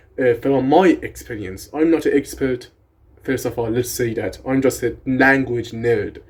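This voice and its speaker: An animated, somewhat breathy man with a Persian accent, medium-pitched, at a fairly slow pace. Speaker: language content creator. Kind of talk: casual educational tutorial.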